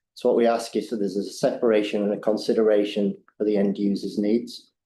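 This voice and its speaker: A man speaks at a very fast pace with an English accent. His fairly low voice stays monotone and flat. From England. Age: middle-aged. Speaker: skate ramp builder. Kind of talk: public deputation. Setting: council meeting.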